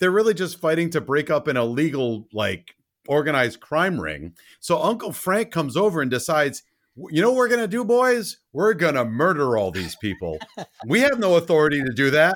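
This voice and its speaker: A man with a fairly high pitch speaks in an animated tone with very wide pitch swings. The recording is very clean, with a silent background. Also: fairly quick pace. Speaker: podcast co-host. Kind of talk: casual chat, movie review podcast. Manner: animated, joking.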